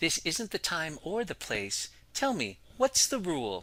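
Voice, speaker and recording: Recorded very cleanly over a silent background, a man puts on a character voice, pitched high and swinging very widely in pitch at a fairly slow pace. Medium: read story. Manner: gentle, patient.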